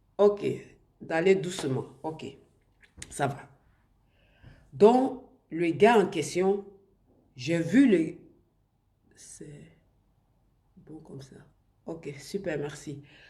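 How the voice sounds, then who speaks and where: The tone is dark and mellow, somewhat breathy, at a very slow pace with long, frequent pauses. Loudness swings widely, and room echo is audible. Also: woman, fairly low pitch for a woman, lively intonation. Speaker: online influencer / live streamer. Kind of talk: live stream talk to viewers. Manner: halting, many restarts.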